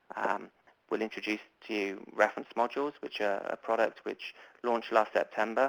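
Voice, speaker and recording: A man speaks with a British accent at a fairly low pitch. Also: dry, close sound with no echo. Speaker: publishing marketing manager. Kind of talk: webinar presentation. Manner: hesitant, many fillers.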